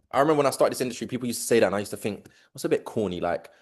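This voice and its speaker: Against a quiet background, a man with a London accent speaks in an animated tone. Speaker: business community leader. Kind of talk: video call hosting. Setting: video call.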